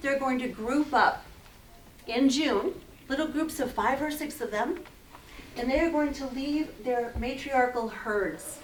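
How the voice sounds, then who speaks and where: With long, frequent pauses, a woman with a high pitch speaks at a fairly slow pace and ordinary pitch variation, amid audible room echo and noticeable background noise. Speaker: naturalist guide giving a wildlife presentation. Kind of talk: public lecture with slides. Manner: animated.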